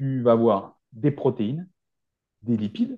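The background is quiet as a man talks in a dark, mellow tone. His medium pitch moves in very wide swings. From rural France. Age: 40s. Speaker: naturopath and nutrition adviser. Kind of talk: podcast interview.

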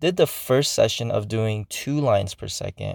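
On a very clean recording with a silent background, a man talks at a moderate pace, the sound dry and close with no echo. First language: not English. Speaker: podcast host. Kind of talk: casual solo monologue. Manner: hesitant, many fillers.

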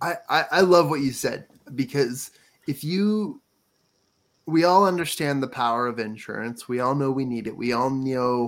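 The recording is very clean with a silent background as a man speaks at a medium pitch with ordinary pitch variation. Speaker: podcast host. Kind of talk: interview.

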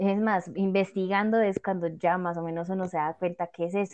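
A woman's dark, mellow tone comes through in monotone, flat intonation at a moderate pace, dry and close with no echo over a quiet background. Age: young. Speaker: podcast host. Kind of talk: casual panel discussion.

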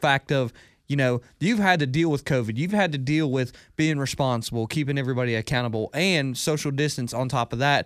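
An ordinary speaking voice from a man with an American accent, fairly high in pitch, at a fairly quick pace, with ordinary pitch variation, very even loudness and a very clean recording over a silent background. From US South (Hartwell, Georgia). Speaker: sports podcast co-host, college student. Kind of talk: casual chat. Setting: studio.

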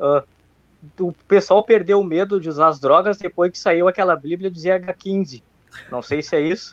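A man's voice, high-pitched, with ordinary pitch variation, big swings in loudness and a moderate pace, in a dry, close sound with no echo. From Rio Grande do Sul, Brazil. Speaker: viewer asking questions. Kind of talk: casual chat.

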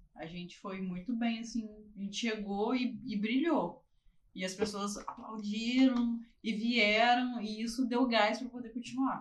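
Somewhat breathy and fairly high-pitched, a woman talks at a fairly slow pace with fairly even intonation and big swings in loudness. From Barra Mansa, Rio de Janeiro state, Brazil. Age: 30s. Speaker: dentist. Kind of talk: casual interview.

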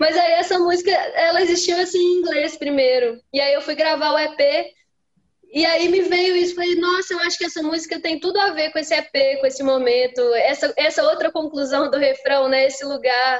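A woman speaks at an extremely high pitch with ordinary pitch variation. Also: moderate pace. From Minas Gerais, Brazil. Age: young. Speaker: singer-songwriter. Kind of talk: interview. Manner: halting.

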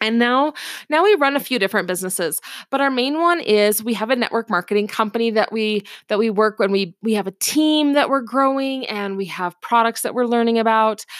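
Speaking with an American accent, a woman talks at a fairly high pitch and a fairly quick pace, animated and with ordinary pitch variation, in a very clean, dry, close recording with a silent background and no echo. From US Pacific Northwest, Seattle area. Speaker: podcast host, homeschooling mom and entrepreneur. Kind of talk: casual monologue. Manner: animated, laughing.

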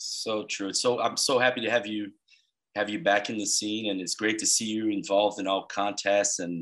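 In a Brazilian accent, a man with fairly low pitch and a bright, sharp tone speaks at a moderate pace with fairly even intonation. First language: Portuguese. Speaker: podcast host. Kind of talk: interview; podcast intro.

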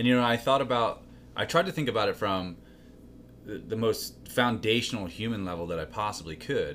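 Using a plain, everyday voice, a man talks at medium pitch and a fairly quick pace with lively intonation. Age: 30s. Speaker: fitness coach and business partner. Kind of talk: casual chat.

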